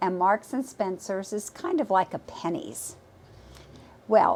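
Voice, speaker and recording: A woman's medium-pitched voice with lively intonation. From England, Liverpool. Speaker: realtor. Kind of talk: personal storytelling. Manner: talkative.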